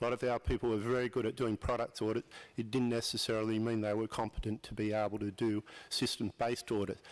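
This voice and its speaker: At a very fast pace, a man with an Australian accent talks in a flat monotone at medium pitch, the sound dry and close with no echo on a very clean recording with a silent background. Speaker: audience member at aviation conference. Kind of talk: audience question at panel session.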